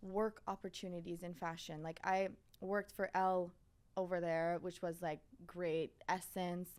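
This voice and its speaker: With a Quebec accent, the speaker talks at a fairly slow pace in a monotone, flat intonation. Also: woman. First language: French. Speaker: fashion content creator. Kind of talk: podcast interview. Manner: casual, filler-heavy.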